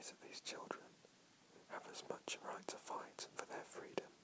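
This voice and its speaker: Whispering in a soothing tone comes through noticeable background noise. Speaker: whisper reader / video creator. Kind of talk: whisper reading of comedic dialogue. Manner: whispered, soft and soothing.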